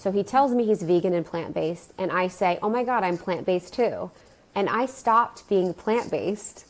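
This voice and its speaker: A woman speaks in an unremarkable speaking voice at a medium pitch. Her pace is moderate and her pitch variation ordinary. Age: 30s. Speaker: wellness podcast host, guest. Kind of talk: casual chat.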